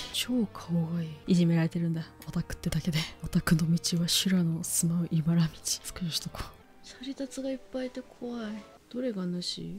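A soft-spoken woman at a fairly quick pace and fairly low pitch, lively intonation, big swings in loudness, music in the background. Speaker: VTuber. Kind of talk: casual game stream commentary. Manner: very quiet, soft-spoken.

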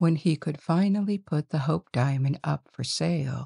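A woman speaks fairly slowly in a very deep, low voice, gentle and somewhat breathy, with a dark, mellow tone and a dry, close sound free of echo. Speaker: sleep-story narrator. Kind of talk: bedtime story telling. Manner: slow, soothing; gentle, hushed, measured.

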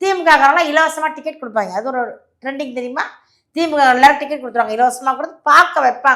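Her tone is bright and sharp, animated, with ordinary pitch variation. The woman speaks in a raised, projected voice. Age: 50s. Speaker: party spokesperson. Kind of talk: interview.

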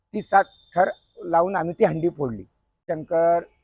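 With ordinary pitch variation, a man's voice comes through dry and close, with no echo. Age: 40s. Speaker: senior member of a Govinda troupe. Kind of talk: reminiscing interview monologue.

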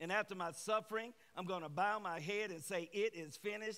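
A man's raised, projected voice sits high in pitch, bright and sharp in tone, moving at a fairly quick pace with ordinary pitch variation. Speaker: guest preacher. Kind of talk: sermon. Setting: church with congregation. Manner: animated.

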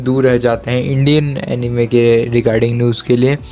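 A man speaks at a fairly slow pace in a monotone, flat intonation. Light background noise sits behind him. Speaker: anime news YouTuber. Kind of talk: casual vlog chat. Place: home room.

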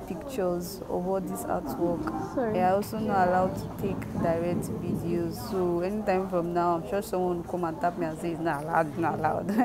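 The speaker keeps a fairly quick pace while music plays in the background. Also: woman. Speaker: vlogger. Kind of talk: casual vlog chat. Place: hall. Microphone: phone near.

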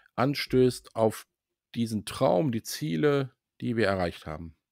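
A man with an unremarkable speaking voice talks at a fairly slow pace in a medium pitch, recorded very cleanly against a silent background with a dry, close sound and no echo. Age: 60s. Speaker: sales employee at a consulting firm. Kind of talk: casual interview.

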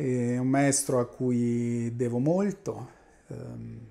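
His intonation stays fairly even as the man speaks. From central Italy, Urbino area; Italy. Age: 50s. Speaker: mathematical physics professor; professor of mathematical physics. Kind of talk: interview monologue. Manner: halting, many fillers. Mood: calm, reminiscing. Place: office. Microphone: lapel.

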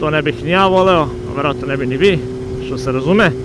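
A man speaks at a fairly quick pace over loud background noise. The sound is dry, with no echo. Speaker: motovlogger rider. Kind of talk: casual vlog chat. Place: motorbike.

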